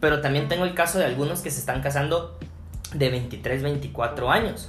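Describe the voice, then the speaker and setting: A man is talking. There is noticeable background noise and audible room echo. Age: 30s. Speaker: pastor. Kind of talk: casual interview chat. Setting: at his home. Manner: hesitant, many fillers and repetitions.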